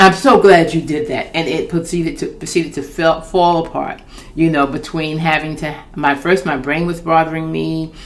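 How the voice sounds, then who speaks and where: A woman with a fairly low pitch talks at a moderate pace, her intonation fairly even, while noticeable background noise carries on. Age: 60s. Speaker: children's book author. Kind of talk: casual talk to camera. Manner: candid, conversational.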